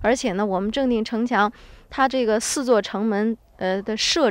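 A woman speaks with a Hebei accent and a fairly high pitch. Her pace is moderate, with ordinary pitch variation. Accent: authentic local Zhengding (Hebei). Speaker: local tour guide. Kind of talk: guided tour explanation.

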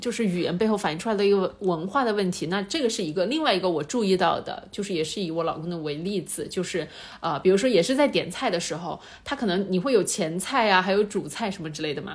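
Very fast, lively-intoned speech from a woman. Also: medium pitch for a woman. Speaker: podcast host. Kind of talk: casual chat.

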